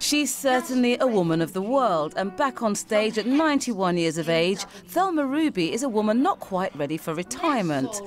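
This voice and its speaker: Over noticeable background noise, a woman with a fairly high pitch talks at a moderate pace with hardly any pauses and very wide pitch swings. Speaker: TV news reporter. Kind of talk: TV news report.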